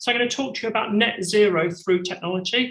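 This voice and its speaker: In a British accent, a man talks at a fairly quick pace. His high-pitched voice is raised and projected. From UK. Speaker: company CEO. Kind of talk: conference presentation.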